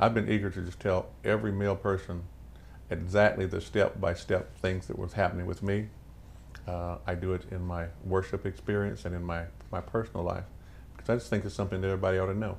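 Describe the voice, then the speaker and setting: Speaking at a very fast pace, a man with a very deep, low pitch and vocal fry uses ordinary pitch variation. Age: 60s. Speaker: pastor and prostate cancer survivor. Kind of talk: documentary interview.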